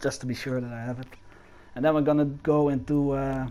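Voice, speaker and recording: Someone with a non-native accent and a dark, mellow tone speaks at a moderate pace amid audible room echo. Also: man. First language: not English. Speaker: game animation tutorial creator. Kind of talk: tutorial. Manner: hesitant, many fillers.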